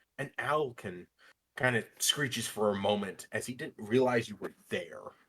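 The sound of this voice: The clip carries an unforced reading voice against a quiet background.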